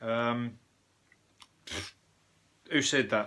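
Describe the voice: Speaking at a very slow pace, a man in a Birmingham accent has a medium pitch, a bright, sharp tone, and fairly even intonation. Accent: Birmingham (Brummie).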